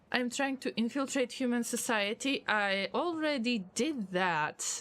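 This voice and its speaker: A woman with a non-native accent, fairly slow pace and lively intonation. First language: not English. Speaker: video game streamer. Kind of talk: live gameplay stream with chat.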